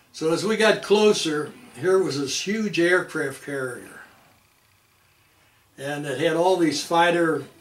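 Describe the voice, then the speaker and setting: A fairly slow pace with ordinary pitch variation and audible room echo. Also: man. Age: 80s+. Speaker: Navy veteran. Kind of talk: oral history interview. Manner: halting, with many restarts.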